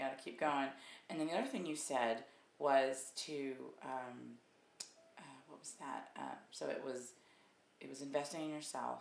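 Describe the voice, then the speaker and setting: With a very deep, low pitch and vocal fry, a woman speaks at a moderate pace with fairly even intonation, big swings in loudness and long, frequent pauses. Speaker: video host. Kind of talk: casual interview intro. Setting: video recording. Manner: warm, encouraging.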